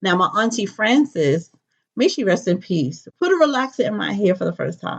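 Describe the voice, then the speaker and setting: A woman speaks at a medium pitch with lively intonation in a plain, everyday voice. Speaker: natural hair enthusiast telling her life story. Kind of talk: personal testimony.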